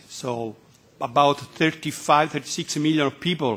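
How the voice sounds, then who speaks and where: A man is talking. The pitch variation is ordinary. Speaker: speaker. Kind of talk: formal address to committee. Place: meeting room. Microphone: podium.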